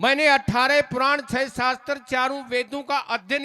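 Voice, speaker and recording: A man uses a raised, projected voice. His tone is bright and sharp. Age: 60s. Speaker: folk singer and religious speaker. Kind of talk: religious speech at a stage program.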